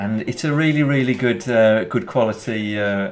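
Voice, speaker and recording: Over noticeable background noise, a man with a Birmingham accent speaks with lively intonation. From England, Birmingham. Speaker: gaming streamer. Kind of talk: live stream commentary and chat. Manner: halting, many fillers and repetitions.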